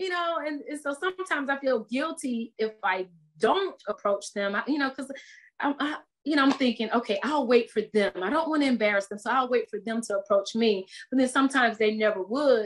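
Against a quiet background, a woman with an American accent talks at a fairly quick pace in a high voice with lively intonation. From US South, Tallahassee, Florida. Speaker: TV news anchor. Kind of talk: casual chat. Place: home room. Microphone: video call.

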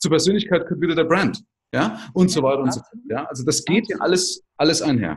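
Against a quiet background, a man speaks with a high pitch and lively intonation. He talks at a fairly quick pace. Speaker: podcast host. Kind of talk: interview conversation. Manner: talkative. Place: home room. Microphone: video call.

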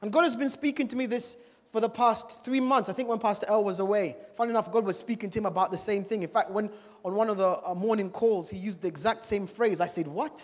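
Talking at a very fast pace, a man uses a high pitch and an animated tone. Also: ordinary pitch variation. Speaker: preacher. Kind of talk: sermon. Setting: church with congregation. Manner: animated, exhorting the congregation with call-and-response; humorous, casual asides. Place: church. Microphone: handheld.

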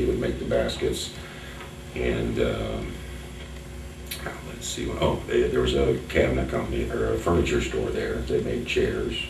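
The speaker has an American accent and talks at a moderate pace. Background noise is noticeable throughout. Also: man. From Collamer, Whitley County, Indiana. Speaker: local history museum owner. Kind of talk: oral history interview answer. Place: meeting room. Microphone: camera far.

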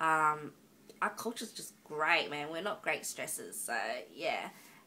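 Noticeable background noise accompanies a woman speaking with an Australian accent. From Australia, Northern Territory. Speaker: vlogger. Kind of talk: casual vlog monologue. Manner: halting, many ums.

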